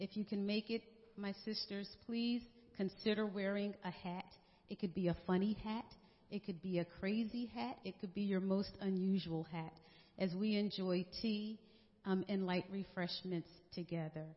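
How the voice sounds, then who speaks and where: A woman's somewhat breathy voice proceeds at a moderate pace. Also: medium pitch for a woman, fairly even intonation. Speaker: worship service leader. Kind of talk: prayer and announcements. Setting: church.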